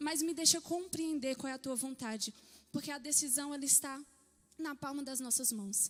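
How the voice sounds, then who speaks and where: A woman's high voice with ordinary pitch variation at a moderate pace. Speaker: pastor. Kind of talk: sermon. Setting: church. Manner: soft-spoken. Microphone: mic too quiet.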